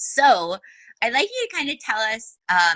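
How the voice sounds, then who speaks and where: A woman with a northern US accent, her tone bright and sharp, in a dry, close sound with no echo. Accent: northern US, long O's. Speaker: podcast host. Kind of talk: interview.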